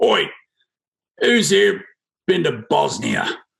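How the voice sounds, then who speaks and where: In a raspy, put-on character voice, the speaker performs with a strong New Zealand accent. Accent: thick New Zealand. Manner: brusque, casual.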